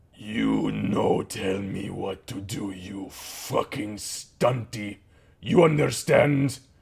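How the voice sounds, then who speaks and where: A growling put-on character voice from a man, fairly low-pitched and very slow. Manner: menacing, hostile.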